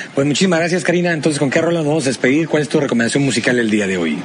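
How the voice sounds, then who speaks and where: Noticeable background noise sits behind this man. He talks at a very fast pace with lively intonation. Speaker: podcast host. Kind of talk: casual chat.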